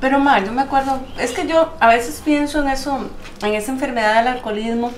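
A woman with a Costa Rican accent speaks at a high pitch and a fairly quick pace. Audible room echo and light background noise are present. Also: ordinary pitch variation. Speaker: documentary subject. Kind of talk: casual conversation with her mother. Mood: reflective, serious. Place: home room.

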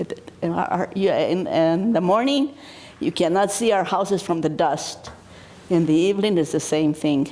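Lively intonation at a moderate pace with very even loudness, noticeable background noise behind it. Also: woman, medium pitch for a woman. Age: 80s+. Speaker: citizen speaking at public meeting. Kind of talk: public comment at county meeting. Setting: county commission meeting room. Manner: halting, with restarts.

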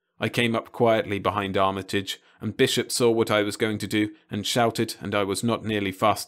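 Fairly even intonation from a natural reading voice.

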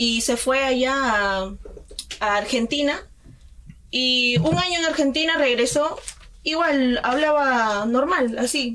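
Speaking at a very slow pace with long, frequent pauses, a woman keeps very even loudness while her high pitch moves in lively intonation. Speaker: student radio host, news reader. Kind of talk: news reading and radio hosting. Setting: radio studio.

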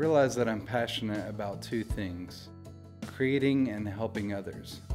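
Over music in the background, a soft-spoken man talks at a moderate pace in a fairly low pitch with ordinary pitch variation. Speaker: photographer. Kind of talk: interview answer. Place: studio.

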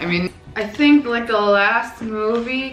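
A woman with a raspy, fairly bright voice speaks at a fairly high pitch. Her pitch varies in an ordinary way, and the room echo is audible.

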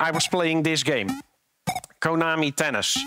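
Over light background noise, a man talks at a moderate pace with ordinary pitch variation, the sound dry with no echo. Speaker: conference speaker. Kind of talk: conference talk, storytelling. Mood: light, humorous. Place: stage. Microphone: headset.

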